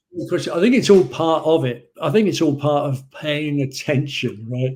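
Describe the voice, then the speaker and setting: A man with an English accent, somewhat breathy, fairly high in pitch, at a moderate pace. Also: ordinary pitch variation. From England. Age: 60s. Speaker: sales trainer. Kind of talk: podcast interview.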